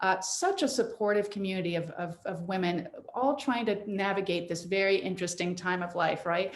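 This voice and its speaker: A woman speaks at a medium pitch. There are hardly any pauses. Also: ordinary pitch variation, fairly quick pace. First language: French. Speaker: midlife life coach. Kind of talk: interview. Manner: animated.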